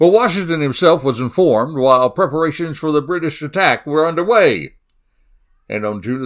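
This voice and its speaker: A man with a Southern US accent speaks with lively intonation. The recording is very clean, with a silent background. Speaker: crime podcast host. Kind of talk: solo podcast narration. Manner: animated.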